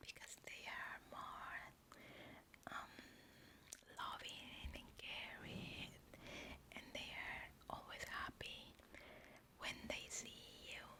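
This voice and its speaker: The whispering moves at a very slow pace, broken by long, frequent pauses. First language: Spanish. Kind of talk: ASMR whispered personal Q&A to camera. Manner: soft, whispered, hesitant with pauses.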